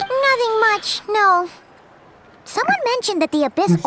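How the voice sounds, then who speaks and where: A put-on character voice, female-sounding and squeaky, pitched extremely high and delivered at a moderate pace. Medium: video game. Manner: speaks of self in third person.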